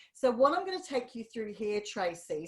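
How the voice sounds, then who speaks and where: Noticeable background noise runs under this recording. A woman talks at a moderate pace. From England, London. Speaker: marketing strategist. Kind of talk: webinar presentation.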